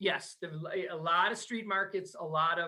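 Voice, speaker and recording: In a Wisconsin accent, a man talks at a very fast pace with a raised, projected voice. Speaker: travel business owner. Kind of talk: podcast interview. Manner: animated.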